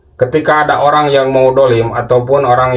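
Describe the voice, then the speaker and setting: A man in a Sundanese accent at medium pitch and a moderate pace, over noticeable background noise. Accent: Sundanese-accented Indonesian. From West Java, Sundanese. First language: Sundanese (speaking Indonesian). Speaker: Islamic spiritual teacher, channel owner. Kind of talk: casual religious talk to viewers. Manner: halting, many fillers.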